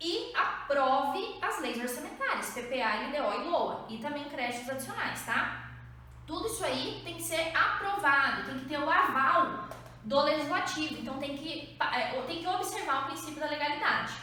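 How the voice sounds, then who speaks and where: A woman's high-pitched, raised and projected voice, with noticeable background noise and audible room echo. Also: lively intonation, moderate pace. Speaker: exam prep teacher. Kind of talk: lecture.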